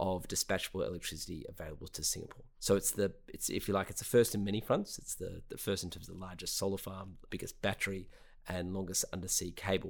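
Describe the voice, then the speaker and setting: With an Australian accent, a man talks at a very fast pace with hardly any pauses and big swings in loudness. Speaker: clean energy company co-founder. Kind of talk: interview.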